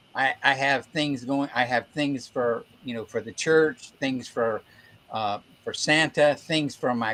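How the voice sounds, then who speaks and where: This voice has a bright, sharp tone and an American accent. The pace is very slow. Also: man. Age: 70s. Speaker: toy collector and Santa performer. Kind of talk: casual chat.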